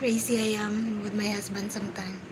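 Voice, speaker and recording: A quiet woman's voice at a fairly high pitch and fairly slow pace, monotone and flat, with audible room echo and noticeable background noise. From Philippines, Cebu. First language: Filipino language (Cebuano/Tagalog). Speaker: livestreamer. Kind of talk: casual chat. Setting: livestream.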